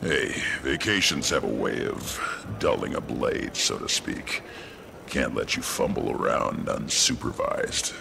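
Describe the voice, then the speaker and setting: Over clear background noise, a man does a put-on character voice at a fairly slow pace. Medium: game stream. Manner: blunt, gruff.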